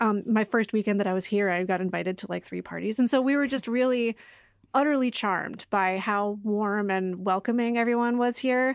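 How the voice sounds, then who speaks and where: A woman's ordinary speaking voice, fairly high-pitched, with an American accent, ordinary pitch variation, and a very clean recording over a silent background. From Boston area. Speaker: reporter. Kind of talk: casual chat.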